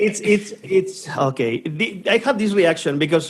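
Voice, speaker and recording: Noticeable background noise sits behind a man speaking with a Spanish accent. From Spain. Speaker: podcast co-host. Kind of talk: casual chat. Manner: halting.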